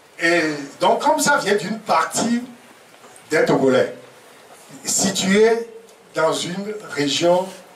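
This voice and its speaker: Speech comes at a very slow pace with lively intonation and long, frequent pauses. There is audible room echo and noticeable background noise. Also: man, high pitch for a man. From Togo. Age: 70s. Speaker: professor. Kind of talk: press conference talk. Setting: press conference at a private home. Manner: hesitant with fillers.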